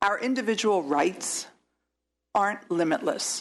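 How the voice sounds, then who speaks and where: At a moderate pace, a woman talks at a medium pitch with ordinary pitch variation. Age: 60s. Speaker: state senator. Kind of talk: committee hearing remarks. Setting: legislative hearing room. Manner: halting.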